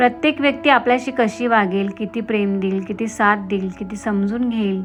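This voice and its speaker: Music plays behind a woman talking. Her fairly high voice has ordinary pitch variation. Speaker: voiceover artist and blogger. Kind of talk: self-help blog narration.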